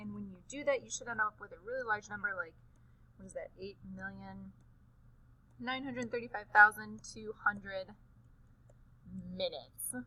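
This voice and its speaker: A woman talks at a moderate pace, leaving long, frequent pauses. Her loudness swings widely. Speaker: teacher. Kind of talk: tutorial. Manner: casual.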